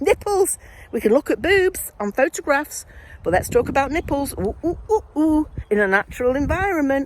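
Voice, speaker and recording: With a Mancunian accent, a woman speaks at a moderate pace in a high, animated voice with very wide pitch swings, the sound dry and close with no echo. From Manchester, northern England. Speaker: vlogger, former nurse and midwife. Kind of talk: casual video diary monologue.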